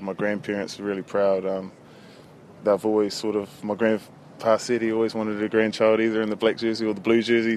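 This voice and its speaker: A man with a New Zealand accent, fairly low in pitch, at a fairly quick pace in a monotone, flat intonation. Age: 20s. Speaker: professional rugby player. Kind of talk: interview. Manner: hesitant, laid-back.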